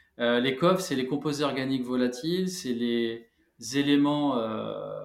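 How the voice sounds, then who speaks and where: A man's medium-pitched voice at a very slow pace, ordinary pitch variation, and audible room echo. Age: 40s. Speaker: founder of an eco paint brand, former building contractor. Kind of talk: interview. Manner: hesitant, many filler sounds.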